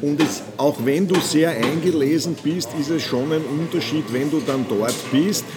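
A man talks with ordinary pitch variation. Music plays in the background and the room echo is audible. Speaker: management consultant and author. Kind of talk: casual chat. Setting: coffee house.

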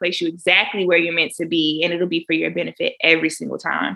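With an American accent, a woman speaks at a fairly quick pace. Her pitch is fairly low and her tone is bright and sharp. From Florida (Jacksonville). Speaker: dentist. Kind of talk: interview.

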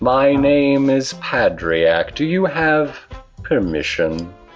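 A man's put-on character voice, fairly high in pitch and very slow, with faint music in the background.

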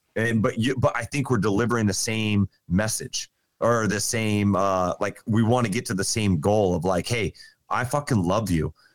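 A plain, everyday voice from a man, fairly low in pitch, at a moderate pace with ordinary pitch variation, in dry, close sound with no echo. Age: 40s. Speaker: podcast guest. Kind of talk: casual chat.

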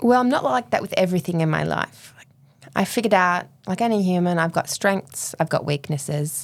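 In an Australian accent, the speaker talks at a fairly quick pace with lively intonation. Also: woman, fairly low pitch for a woman. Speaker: endurance swimmer and domestic violence advocate. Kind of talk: interview, personal story.

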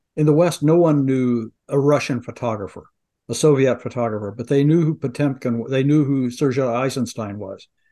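A man with an American accent and a dark, mellow tone talks at a moderate pace over a quiet background. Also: medium pitch for a man, ordinary pitch variation. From US Midwest, Ohio. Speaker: podcast co-host, former camera seller. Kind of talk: casual chat.

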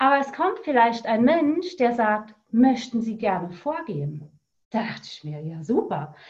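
A woman speaks at a fairly slow pace, her fairly high pitch making very wide swings. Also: big swings in loudness. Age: 40s. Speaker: coach. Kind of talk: interview.

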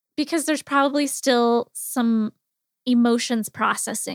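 In a very clean recording with a silent background, a woman with a high voice speaks fairly slowly and with fairly even intonation, the sound dry and close with no echo. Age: 40s. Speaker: empowerment coach and podcast host. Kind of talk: casual solo monologue. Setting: home office.

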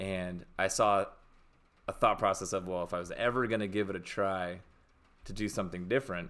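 At a moderate pace, the speaker talks with an American accent and fairly even intonation. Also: man. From Washington State (Seattle, Spokane). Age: 40s. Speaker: homesteader. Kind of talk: casual chat.

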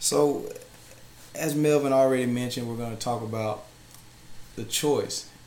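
Amid audible room echo and noticeable background noise, a man at medium pitch speaks at a moderate pace with fairly even intonation and long, frequent pauses. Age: 20s. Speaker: minister. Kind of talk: bible teaching.

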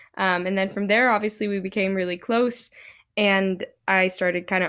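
In an ordinary speaking voice, a woman with an American accent talks at a fairly quick pace and medium pitch in a very clean recording with a silent background. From Utah, Salt Lake City. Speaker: singer-songwriter. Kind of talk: casual chat.

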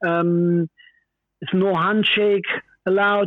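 With a German accent, a man speaks very slowly in a high voice and a monotone, flat intonation. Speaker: former footballer. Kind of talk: phone interview. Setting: phone call. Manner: halting.

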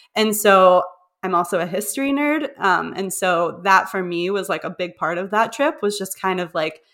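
An unremarkable speaking voice with an American accent, talking at a moderate pace. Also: woman. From Pittsburgh, Pennsylvania, US. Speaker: travel industry worker. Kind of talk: casual chat.

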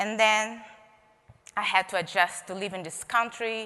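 With a Portuguese accent, a woman speaks at a medium pitch in a bright, sharp tone. Her pace is moderate and her pitch varies in an ordinary way. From Brazil, Rio de Janeiro. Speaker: expressive arts therapist. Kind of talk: keynote talk. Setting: stage with audience.

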